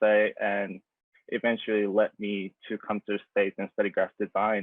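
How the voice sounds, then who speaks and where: A man with a Japanese accent talks at a moderate pace. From Japan (Tokyo). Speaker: graphic designer. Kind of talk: presentation talk. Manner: halting, many fillers.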